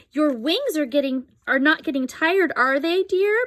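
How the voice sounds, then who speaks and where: The voice is a woman's, and it is high in pitch. She is doing a put-on character voice. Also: moderate pace. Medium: read story.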